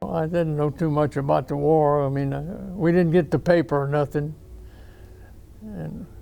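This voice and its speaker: A man with a Louisiana accent speaks at a fairly slow pace in a fairly high pitch with ordinary pitch variation. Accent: Southern US (Louisiana). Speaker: war veteran. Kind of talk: interview answer. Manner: casual, halting.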